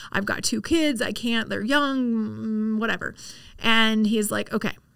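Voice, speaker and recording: A woman's normal speaking voice, fairly high in pitch with fairly even intonation, at a moderate pace on a very clean recording with a silent background. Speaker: real estate agent. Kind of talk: interview.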